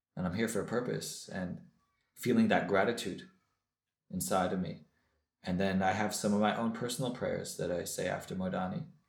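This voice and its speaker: In an American accent, a man speaks at a fairly quick pace and fairly low pitch, with ordinary pitch variation, long, frequent pauses and audible room echo. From US West Coast (Los Angeles). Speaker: former rabbi, recovering alcoholic. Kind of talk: testimony.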